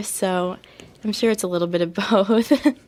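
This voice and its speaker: A soft-spoken woman talks at a moderate pace with a medium pitch. Her intonation stays fairly even. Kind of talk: interview conversation. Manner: hesitant, many fillers.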